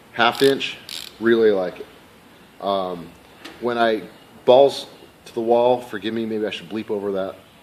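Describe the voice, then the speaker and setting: The voice holds a fairly even intonation amid noticeable background noise. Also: man. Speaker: professional mechanic reviewing tools. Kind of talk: casual tool review. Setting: at work shop. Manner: fast; hesitant with fillers and restarts.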